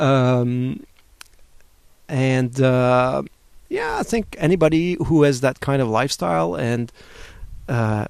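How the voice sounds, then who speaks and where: A man with a French accent, medium in pitch, very slow with long, frequent pauses and lively intonation. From France and Switzerland. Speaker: webcomic artist. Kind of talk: interview. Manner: halting.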